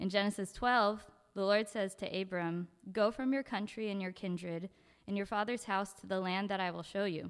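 The speaker is a woman at a moderate pace. Her pitch is medium. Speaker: church mission group leader. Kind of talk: church announcement talk. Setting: church. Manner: nervous.

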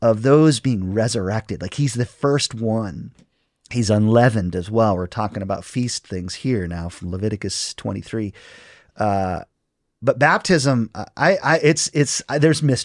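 At a moderate pace, a man speaks in a plain, everyday voice of medium pitch, the sound dry and close with no echo on a very clean recording with a silent background. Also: lively intonation. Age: 40s. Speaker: pastor. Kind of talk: casual chat.

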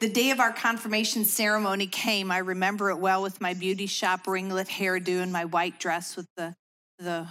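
Her bright, sharp tone sits at a medium pitch for a woman with fairly even intonation, on a very clean recording with a silent background. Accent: American. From US Midwest, Chicago suburbs. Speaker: women's ministry speaker. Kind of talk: devotional talk.

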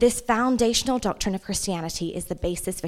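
In an English accent, a woman talks at a fairly quick pace with ordinary pitch variation. The recording is very clean, with a silent background. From England. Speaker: nonprofit director. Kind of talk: church talk. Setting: church service.

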